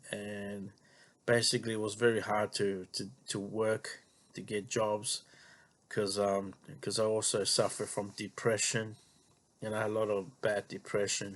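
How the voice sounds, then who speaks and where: In an Australian accent, a man with a fairly low voice speaks fairly slowly in a monotone, flat way, leaving long, frequent pauses. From Australia, Melbourne western suburbs. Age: 40s. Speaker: vlogger. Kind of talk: personal monologue. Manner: halting, many fillers and repetitions.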